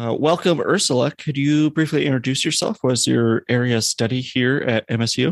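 A man with a normal speaking voice and medium pitch talks at a moderate pace with hardly any pauses, ordinary pitch variation, and very even loudness, in a dry, close sound with no echo and a quiet background. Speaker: podcast interviewer. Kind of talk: casual interview conversation.

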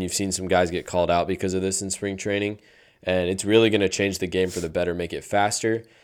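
A man's very deep, low voice in a monotone, flat delivery on a very clean recording with a silent background. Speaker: podcast host. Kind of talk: casual sports chat.

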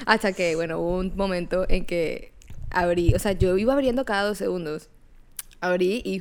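Ordinary pitch variation marks this woman's speech, which moves at a moderate pace. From Colombia, Barranquilla. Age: 20s. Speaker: podcast co-host. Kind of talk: casual chat.

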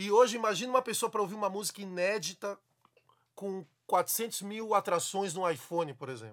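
Delivered at a fairly quick pace, the speech shows ordinary pitch variation. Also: man, high pitch for a man. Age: 40s. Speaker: samba musician and podcast host. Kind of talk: casual interview chat.

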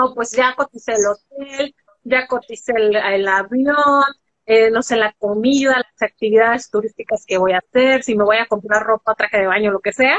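At a moderate pace, a woman with a fairly high voice speaks with fairly even intonation. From Mexico, Guadalajara, Jalisco. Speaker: personal finance and personal development coach. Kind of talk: interview on a live stream. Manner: hesitant, many fillers.

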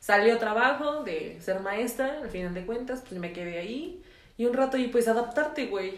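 Amid audible room echo, a woman speaks at a moderate pace, her fairly high pitch carrying lively intonation and big swings in loudness. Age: 20s. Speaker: podcast co-host. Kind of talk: casual chat.

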